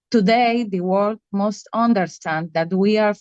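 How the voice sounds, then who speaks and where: The speaker has a non-native accent and ordinary pitch variation. The sound is dry and close, with no echo. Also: woman. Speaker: activist. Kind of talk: prepared speech read aloud.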